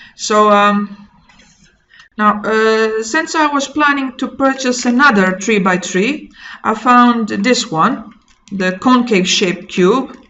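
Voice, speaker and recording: A woman with a Croatian accent speaks at a very slow pace. Her pitch is fairly high, with ordinary variation. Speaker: maritime training instructor. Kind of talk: casual explainer vlog. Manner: halting, with frequent fillers.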